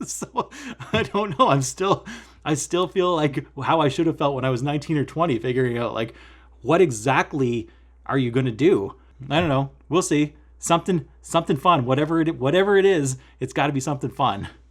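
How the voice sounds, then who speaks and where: Pitched fairly high, a man speaks at a fairly quick pace with ordinary pitch variation. The recording is very clean with a silent background. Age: 30s. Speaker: cross-stitch vlogger. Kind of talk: casual vlog chat. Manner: animated.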